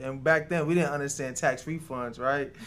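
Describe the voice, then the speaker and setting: A man talks at a fairly quick pace with a New York accent. His intonation is monotone and flat. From New York City (Queens), Jamaican-born. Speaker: restaurant co-owner. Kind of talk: interview.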